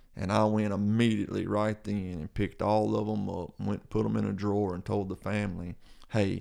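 A man with a Mississippi accent speaks at a fairly low pitch. His pace is moderate and his intonation fairly even. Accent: Southern US (Mississippi). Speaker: pastor. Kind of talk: casual chat.

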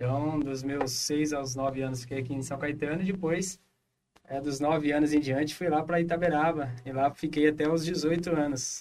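A man with an unremarkable speaking voice talks at a moderate pace with fairly even intonation. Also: fairly high pitch for a man. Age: 30s. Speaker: pastor. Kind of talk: casual chat.

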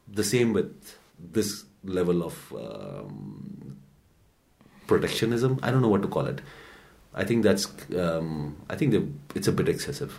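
A man's fairly low voice with vocal fry and very wide pitch swings, fairly slow with long, frequent pauses, amid audible room echo. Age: 40s. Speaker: newspaper editor and podcast co-host. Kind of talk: casual news discussion.

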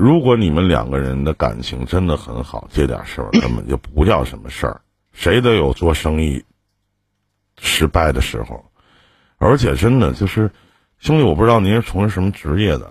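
A man with a very deep, low voice and vocal fry, his pitch swinging very widely. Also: moderate pace. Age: 40s. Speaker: radio call-in advice host. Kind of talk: call-in advice show.

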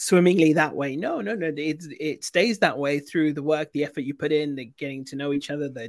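Talking at a fairly quick clip in a British accent, a man with a fairly high pitch shows ordinary pitch variation, and the sound is dry and close with no echo. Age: 40s. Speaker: podcast host. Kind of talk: casual interview. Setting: livestream.

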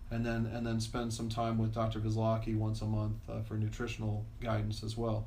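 In a recording with audible room echo, a man talks at a moderate pace with hardly any pauses. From Florida, Tampa Bay area (moved from Pennsylvania as a child). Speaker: chiropractor. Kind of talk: interview. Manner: halting.

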